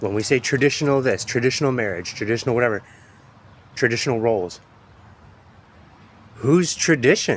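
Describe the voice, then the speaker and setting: With an American accent, a man of medium pitch talks at a fairly quick pace with lively intonation and long, frequent pauses. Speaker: poet and podcaster. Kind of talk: casual monologue. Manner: animated.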